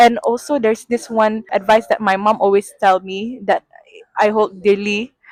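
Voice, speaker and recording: A woman with a Sarawakian accent at a fairly high pitch and fairly slow pace, in a dry, close sound with no echo. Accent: Malaysian (Sarawakian) English. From Malaysia, Sarawak (Kuching). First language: Sarawak Malay. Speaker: sustainability analyst at a bank. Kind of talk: interview. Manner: hesitant, with fillers.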